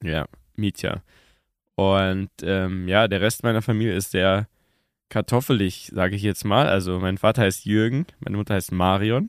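A man with a fairly low pitch uses an ordinary speaking voice. He keeps a moderate pace and fairly even intonation. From Bavaria, Munich. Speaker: TV presenter and podcaster. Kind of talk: casual chat. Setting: podcast studio in a tavern.

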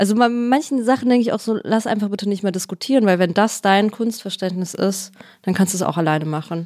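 A woman speaks very fast at a medium pitch with ordinary pitch variation. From Ruhr area, Germany. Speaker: actress. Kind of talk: casual chat.

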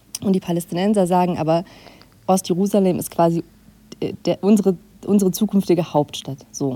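Speaking at a fairly quick pace with long, frequent pauses, a woman uses a medium pitch, a dark, mellow tone and fairly even intonation. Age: 30s. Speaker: foreign correspondent. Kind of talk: interview.

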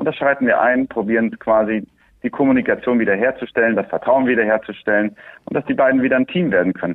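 Man speaking at a very fast pace, medium pitch and ordinary pitch variation. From Andalusia, Spain (Swiss family). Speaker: horse trainer. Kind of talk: interview.

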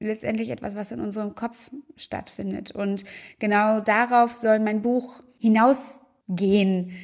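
A woman talks at a fairly slow pace with fairly even intonation and a fairly high pitch. It is an unremarkable speaking voice. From Münster, Germany. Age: 20s. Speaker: YouTuber and author. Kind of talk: book presentation monologue.

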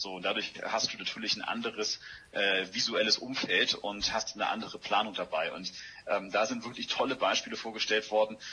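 A man speaks fairly quickly while noticeable background noise plays behind him. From Hamburg, northern Germany. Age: 40s. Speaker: politician. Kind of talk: interview.

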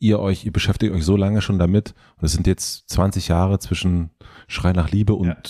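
A dark, mellow tone at a fairly quick pace, with fairly even intonation, on a very clean recording over a silent background. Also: man. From former East Germany. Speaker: podcast host. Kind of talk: casual interview.

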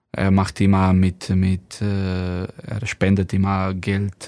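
Very deep and low in pitch, a man speaks with a Slovenian accent in a very clean recording with a silent background. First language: Slovenian (speaking German). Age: 30s. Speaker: professional handball player. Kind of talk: casual interview. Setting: studio. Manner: halting, many fillers.

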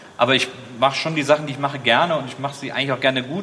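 Very fast speech from a man with fairly even intonation, over noticeable background noise. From Rhineland, Germany (Wesseling near Cologne). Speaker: podcaster, author and TV host. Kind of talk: casual chat.

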